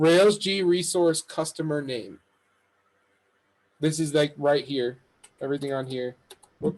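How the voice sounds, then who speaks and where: With long, frequent pauses, a man talks at a fairly slow pace in a fairly high pitch, showing ordinary pitch variation. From New York. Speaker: coding instructor. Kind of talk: lecture. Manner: animated.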